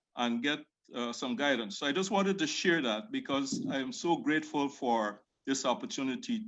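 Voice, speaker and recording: Here a man speaks with a Caribbean accent at a moderate pace. His voice is fairly high, and his pitch swings very widely. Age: middle-aged. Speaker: fraternity member. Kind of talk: virtual panel discussion. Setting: video call.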